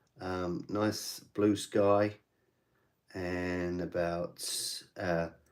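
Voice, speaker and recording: The delivery is very slow and monotone, broken by long, frequent pauses, on a very clean recording with a silent background. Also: man, very deep, low pitch for a man. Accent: British. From England. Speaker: miniature painting streamer. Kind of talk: casual livestream chat while painting. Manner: casual, hesitant with fillers.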